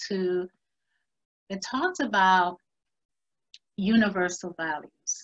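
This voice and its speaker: A woman with a non-native accent speaks at fairly low pitch, in a dry, close sound with no echo. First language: not English. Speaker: round table facilitator. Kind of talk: presentation to a virtual round table. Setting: virtual conference.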